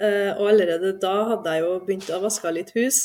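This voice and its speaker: This is a woman speaking at a medium pitch. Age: 30s. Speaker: veterinary nurse, course participant. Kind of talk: personal testimony in interview. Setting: studio. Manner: halting, many fillers.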